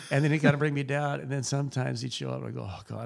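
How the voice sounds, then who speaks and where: A man with vocal fry and very wide pitch swings at a very fast pace, on a very clean recording with a silent background. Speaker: winemaker. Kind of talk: interview conversation.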